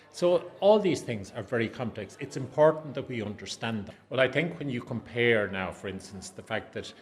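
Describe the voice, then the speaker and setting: A man with an Irish accent talks at a fairly quick pace. His medium-pitched voice carries lively intonation. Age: 60s. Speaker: adult education academic. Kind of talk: interview.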